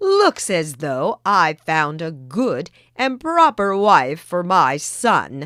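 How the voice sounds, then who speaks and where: Using a put-on character voice, a woman speaks very slowly at a fairly low pitch, her pitch swinging very widely. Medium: read story.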